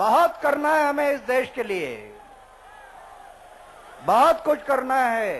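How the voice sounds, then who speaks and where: A man speaks at an extremely high pitch with ordinary pitch variation and long, frequent pauses. Noticeable background noise runs underneath. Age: 70s. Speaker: anti-corruption activist. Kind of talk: public speech to a rally. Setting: outdoors.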